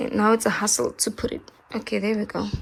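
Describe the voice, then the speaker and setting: There is noticeable background noise in this clip. Over it, a woman talks at a fairly high pitch. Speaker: vlogger. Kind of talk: casual vlog chat. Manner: animated.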